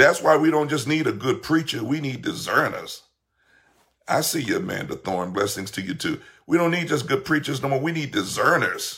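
An animated, bright, sharp voice with vocal fry and lively intonation moves at a fairly quick pace, with audible room echo. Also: man, fairly high pitch for a man. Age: 50s. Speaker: pastor. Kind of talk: livestream sermon.

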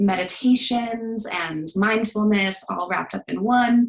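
A woman with a General American accent, an ordinary speaking voice, medium pitch and ordinary pitch variation. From US, Denver, Colorado. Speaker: therapist. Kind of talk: casual interview chat.

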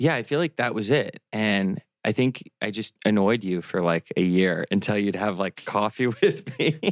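This is an ordinary speaking voice with an American accent, moving at a moderate pace with ordinary pitch variation and hardly any pauses. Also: man, fairly low pitch for a man, dry, close sound with no echo. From US Midwest. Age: 30s. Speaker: real estate developer. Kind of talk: casual chat.

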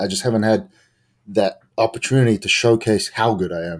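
In a New Zealand accent, a man speaks with ordinary pitch variation. The recording is very clean, with a silent background. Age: 20s. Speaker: professional wrestler. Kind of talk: casual interview.

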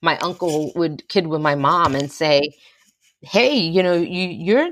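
In a very clean recording with a silent background, a woman talks with an American accent. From New Jersey, US (West New York). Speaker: memoir author. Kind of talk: interview. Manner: hesitant, many fillers.

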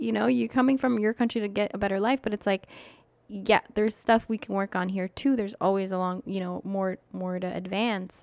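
A woman with a Canadian accent at a medium pitch and fairly quick pace, with ordinary pitch variation, in a dry, close sound with no echo. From Canada, Iraqi immigrant family. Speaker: podcast co-host. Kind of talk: casual chat. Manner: hesitant, many fillers.

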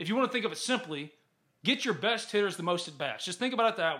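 With a Mississippi accent, a man rattles along at a very fast pace in a bright, sharp tone, his intonation lively. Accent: US Southern (Mississippi). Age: 30s. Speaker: sports podcast host. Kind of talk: casual sports chat. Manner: animated.

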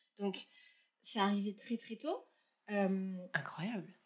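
At a fairly high pitch, a woman speaks somewhat breathy at a moderate pace. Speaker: entrepreneur. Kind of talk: interview. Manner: animated, talkative.

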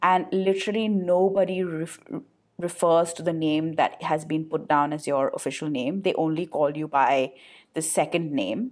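At a moderate pace, a woman speaks with a fairly low pitch and ordinary pitch variation on a very clean recording with a silent background. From India, Calcutta. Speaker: podcast co-host. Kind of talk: casual chat.

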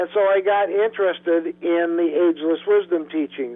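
A man is speaking at a moderate pace. His pitch is high. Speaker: spiritual counselor and teacher. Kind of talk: interview.

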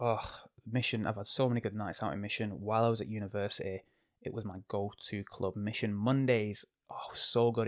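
A man speaks with an English accent at a fairly quick pace. The sound is dry and close, with no echo. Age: 20s. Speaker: DJ and podcast host. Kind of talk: casual monologue. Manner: animated. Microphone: new expensive microphone.

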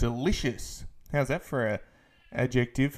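A fairly high-pitched man at a fairly slow pace. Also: very clean recording, silent background. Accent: Australian. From Australia. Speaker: basketball podcast host. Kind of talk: postgame podcast recap. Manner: filler-heavy, casual.

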